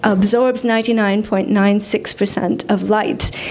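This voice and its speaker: A woman's fairly high-pitched voice with fairly even intonation, amid noticeable background noise. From India. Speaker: poet. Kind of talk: poetry reading with commentary. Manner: halting, many fillers.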